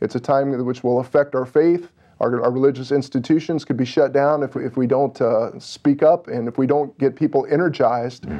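A man with an American accent speaks at a medium pitch with fairly even intonation. It is an ordinary speaking voice, heard against a quiet background. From Illinois, US Midwest. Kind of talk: exhortation on talk radio. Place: studio. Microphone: lapel.

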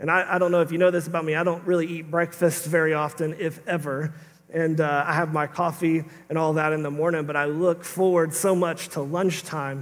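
This man's voice sits fairly high and moves at a fairly quick pace. His intonation is monotone and flat. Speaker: pastor. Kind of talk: sermon preached to a congregation. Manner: casual, humorous, conversational. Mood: humorous, animated. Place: church. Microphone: headset.

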